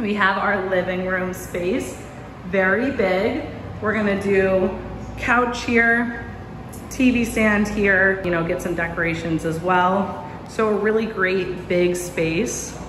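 A woman speaks at a very slow pace with fairly even intonation, with noticeable background noise behind her. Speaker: apartment tour narrator. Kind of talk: casual vlog chat. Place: home room. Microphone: phone near.

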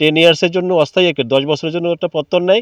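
The sound is dry and close, with no echo. A man talks at a high pitch. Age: 50s. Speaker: local resident protester. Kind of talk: protest speech to reporters.

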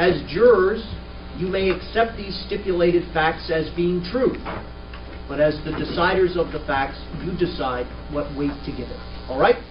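Clear music plays in the background as the speaker goes at a moderate pace with long, frequent pauses. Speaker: trial judge. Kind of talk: jury instructions. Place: hall.

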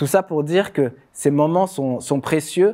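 A man speaks at a moderate pace with a fairly high pitch and a dark, mellow tone. His pitch varies in an ordinary way against a quiet background. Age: 30s. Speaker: former judoka and speaker; speaker. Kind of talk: public talk. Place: stage.

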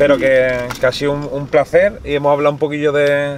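A man's fairly high-pitched, monotone voice with flat intonation, dry with no echo, against noticeable background noise. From Spain. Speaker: YouTube interviewer. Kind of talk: casual interview. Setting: in a car. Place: car.

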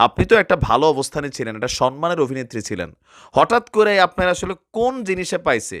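On a very clean recording with a silent background and a dry, close sound with no echo, a man speaks in an animated tone at a high pitch with very wide pitch swings. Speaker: social media commentator. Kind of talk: opinion rant to camera.

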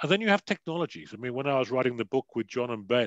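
Very fast speech with a British accent, dry and free of echo. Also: man, quiet background. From United Kingdom. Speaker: security advisor and author; guest lecturer. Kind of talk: panel discussion. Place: home room. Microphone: headset.

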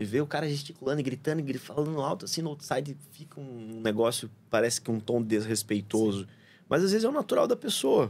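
A man at medium pitch, fairly quick and lively in intonation, with big swings in loudness. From Paraná, Brazil (São José dos Pinhais); Paraná, Brazil. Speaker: surfer, traveller guest; podcast guest. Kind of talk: casual chat; casual interview conversation. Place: studio. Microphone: studio mic.

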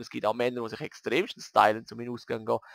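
A man with a Graubünden accent at a moderate pace, in a dry, close sound with no echo and a very clean recording with a silent background. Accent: Swiss German, Graubünden dialect. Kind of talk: casual let's play commentary.

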